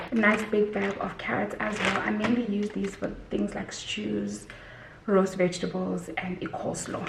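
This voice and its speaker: A woman whispers against noticeable background noise, and audible room echo surrounds her words. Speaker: lifestyle vlogger. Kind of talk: casual vlog haul. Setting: at home. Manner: whispering.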